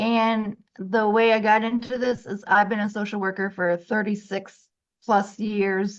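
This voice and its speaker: This woman has an unremarkable speaking voice, medium in pitch, with an American accent. She talks fairly slowly with fairly even intonation against a quiet background. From Massachusetts. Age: 60s. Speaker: financial coach and social worker. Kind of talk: interview.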